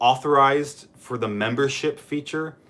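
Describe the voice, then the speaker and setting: A man with an American accent and a fairly high pitch speaks at a very slow pace. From US Midwest, Columbus. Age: young. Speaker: YouTuber answering viewer questions. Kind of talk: live stream Q&A. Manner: casual, hesitant with fillers.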